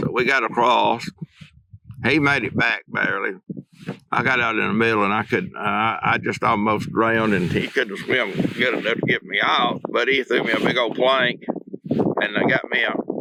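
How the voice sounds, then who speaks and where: With an Alabama accent, a man speaks at very even loudness with ordinary pitch variation. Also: medium pitch for a man, moderate pace. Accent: Southern US (Alabama). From Northeast Alabama, USA. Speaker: retired high school principal. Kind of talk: oral history interview answer.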